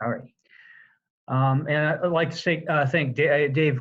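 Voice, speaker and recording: At a moderate pace, the somewhat breathy voice keeps its intonation fairly even. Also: man. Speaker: government conservation program presenter. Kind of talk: webinar presentation. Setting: online webinar.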